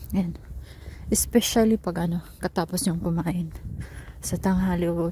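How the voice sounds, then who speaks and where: The speaker has a Bisaya accent and talks at a fairly slow pace. There is noticeable background noise. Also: woman. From Philippines. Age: 40. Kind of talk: casual vlog talk while walking. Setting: outdoors.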